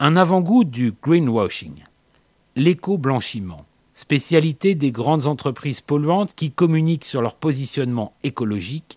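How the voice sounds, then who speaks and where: With lively intonation and a medium pitch, a man speaks fairly slowly in a dry, close sound with no echo. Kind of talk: scripted narration. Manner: dramatic, wry.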